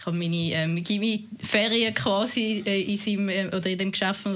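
With monotone, flat intonation, a woman talks at medium pitch. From Winterthur, canton of Zurich, Switzerland (from age nine). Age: 30s. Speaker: politician. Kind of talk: interview.

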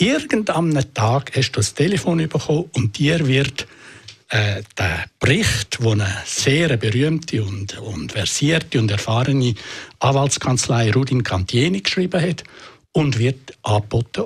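Speaking at a fairly slow pace, a man with a medium pitch and a somewhat breathy voice uses lively intonation. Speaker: journalist, interviewer. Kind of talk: critical interview.

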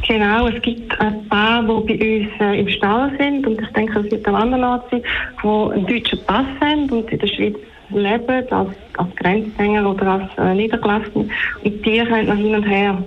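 Amid noticeable background noise and audible room echo, a woman speaks at a moderate pace and fairly high pitch, with fairly even intonation and very even loudness. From Switzerland, near the German border. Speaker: caller, horse owner. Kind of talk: radio call-in.

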